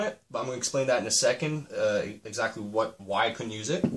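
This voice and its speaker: Moving at a fairly quick pace, a man uses an unremarkable speaking voice of medium pitch. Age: 20s. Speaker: auto mechanic and welder. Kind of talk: casual walkthrough of a car build. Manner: casual, with frequent fillers.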